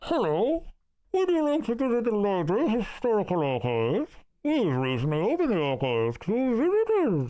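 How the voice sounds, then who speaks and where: A put-on character voice with a fairly high pitch. The background is quiet. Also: moderate pace. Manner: polite, welcoming.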